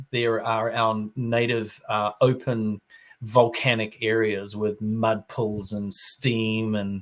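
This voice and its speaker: A very slow man with a New Zealand accent, medium pitch and a monotone, flat intonation. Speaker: wine expert. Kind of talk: interview.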